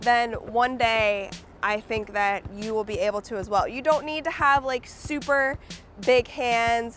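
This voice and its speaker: With music in the background, a woman speaks fairly slowly at a fairly high pitch with ordinary pitch variation. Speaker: basketball player. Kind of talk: casual tutorial talk to camera.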